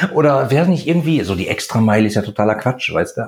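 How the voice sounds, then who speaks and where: A man's very fast delivery with lively intonation. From Ruhr area, Germany. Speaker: chemist and e-commerce entrepreneur. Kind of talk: casual interview chat.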